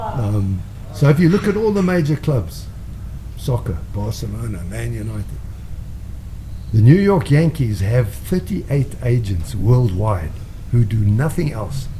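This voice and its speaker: At a fairly slow pace with long, frequent pauses, the voice carries audible room echo and noticeable background noise. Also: man. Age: 70s. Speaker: former mayor and racehorse owner. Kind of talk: casual chat.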